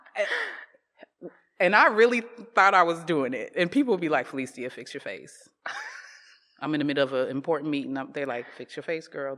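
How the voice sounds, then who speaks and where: This woman speaks at a fairly quick pace, her pitch very deep and low. Her loudness swings widely, and she leaves long, frequent pauses. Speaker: creative entrepreneur. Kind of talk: casual conversation.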